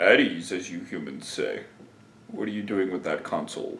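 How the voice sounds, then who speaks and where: A man is doing a put-on character voice. He speaks at a moderate pace. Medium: solo performance. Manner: formal, dignified.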